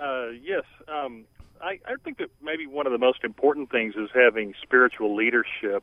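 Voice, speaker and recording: With an American accent, a plain, everyday voice speaks at a moderate pace with ordinary pitch variation. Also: man, medium pitch for a man. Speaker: caller. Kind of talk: call-in talk radio. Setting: phone call.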